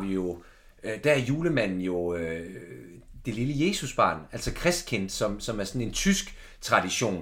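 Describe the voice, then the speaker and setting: Room echo is audible as a man speaks at a very slow pace. His pitch swings very widely. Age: 20s. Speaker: podcast host. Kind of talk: casual chat. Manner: halting.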